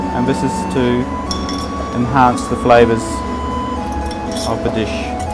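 Music plays in the background while the speaker goes at a moderate pace. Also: man. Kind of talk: tutorial. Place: kitchen.

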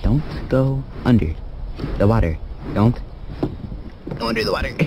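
Slow and dark, a man's mellow voice sits at a medium pitch with very wide pitch swings over faint background noise.

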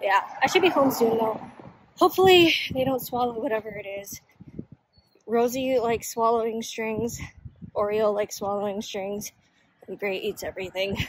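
Her pace moderate and her pitch fairly high, a woman speaks with long, frequent pauses and big swings in loudness, the sound dry with no echo. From Honolulu, Hawaii. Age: 20s. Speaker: daily vlogger. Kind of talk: casual talk to camera. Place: street. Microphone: phone near.

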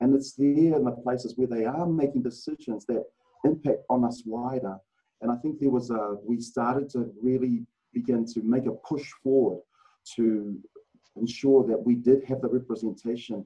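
Fairly even intonation in a New Zealand accent, quiet background. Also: man, moderate pace. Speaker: former rugby player and rugby administrator. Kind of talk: casual interview. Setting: video call. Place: meeting room.

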